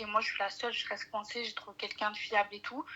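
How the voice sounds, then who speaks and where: A woman's fairly high, monotone voice with flat intonation over noticeable background noise. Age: 20s. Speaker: caller. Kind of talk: phone call-in, personal problem. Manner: soft-spoken; hesitant, many fillers.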